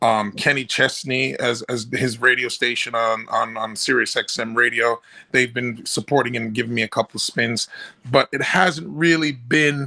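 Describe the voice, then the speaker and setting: A man speaks at a moderate pace in a Jamaican accent. His medium pitch varies in an ordinary way, and his tone is bright and sharp. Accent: Jamaican-tinged. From New York, Jamaican family. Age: 40s. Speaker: reggae singer. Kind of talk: interview. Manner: halting, many fillers.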